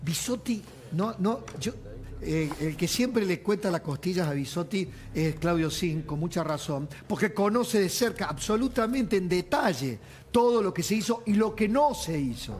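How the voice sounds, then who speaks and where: Over light background noise, a man talks at a high pitch and a fairly slow pace with lively intonation. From Argentina. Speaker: TV news host. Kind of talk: TV panel interview. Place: studio. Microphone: lapel.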